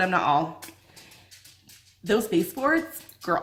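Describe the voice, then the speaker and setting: An animated woman speaks at a fairly high pitch, with very wide pitch swings. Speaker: lifestyle vlogger. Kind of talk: casual chat. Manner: fast.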